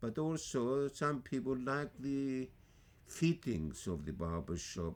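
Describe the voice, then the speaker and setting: A man with a Greek accent, very wide pitch swings and a fairly slow pace. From Greece. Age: 80s+. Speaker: barber. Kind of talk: interview answer.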